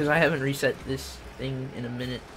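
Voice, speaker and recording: Noticeable background noise sits behind a man who talks at a moderate speed. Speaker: gaming livestreamer. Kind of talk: casual livestream chat while gaming. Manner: animated.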